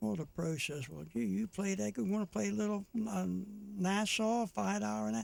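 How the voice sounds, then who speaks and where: A man at a moderate pace, with very wide pitch swings. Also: fairly high pitch for a man. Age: 80s+. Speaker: retirement community resident and TV segment host. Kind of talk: joke telling on a radio morning show. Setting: radio studio. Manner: halting, with many fillers.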